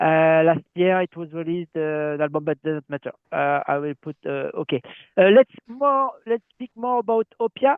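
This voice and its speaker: Speaking at a moderate pace in a French accent, a man lets his pitch swing very widely. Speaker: metal webzine interviewer. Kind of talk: interview. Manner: halting.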